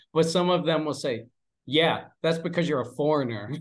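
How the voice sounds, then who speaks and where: With a Pennsylvania accent, a man speaks at a fairly high pitch with ordinary pitch variation against a quiet background. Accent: American (Pennsylvania). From Pennsylvania, US. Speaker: English teacher and father. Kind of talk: casual interview chat.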